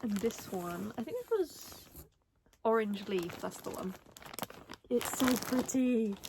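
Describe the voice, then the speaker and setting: Pausing long and often, a woman with a fairly high pitch and ordinary pitch variation speaks at a very slow pace. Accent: British. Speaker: crochet content creator. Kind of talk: casual chat. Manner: animated.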